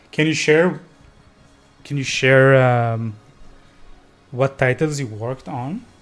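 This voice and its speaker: With music in the background, a man of medium pitch talks very slowly with long, frequent pauses, ordinary pitch variation and big swings in loudness. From Israel, Tel Aviv. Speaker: indie game developer streamer. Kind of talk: live stream, casual chat while coding.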